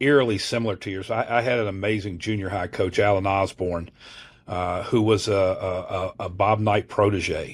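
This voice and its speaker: A man's fairly low voice at a moderate pace, on a very clean recording with a silent background. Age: 60s. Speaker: college basketball assistant coach. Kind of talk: podcast interview. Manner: animated, with frequent fillers and restarts.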